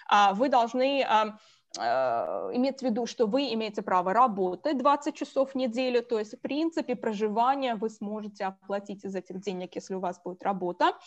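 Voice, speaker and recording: A woman's normal speaking voice, fairly high in pitch with lively intonation, at a moderate pace against a quiet background. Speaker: college admissions officer. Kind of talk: webinar presentation. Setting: video call.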